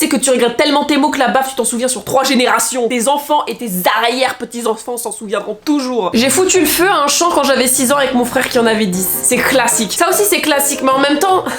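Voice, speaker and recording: Speaking very fast with hardly any pauses, a woman with a high pitch and an animated tone shows ordinary pitch variation against noticeable background noise. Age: 20s. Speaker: YouTuber. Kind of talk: casual reaction video.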